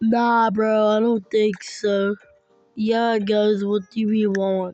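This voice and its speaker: The speaking is very slow in pace. Background music plays throughout. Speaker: gaming streamer. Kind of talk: casual gaming commentary. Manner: excitable, loud reactions.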